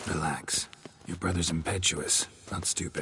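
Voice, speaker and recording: Whispering in a put-on character voice, a man speaks over clear background noise. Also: moderate pace. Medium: video game. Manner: dry, laconic.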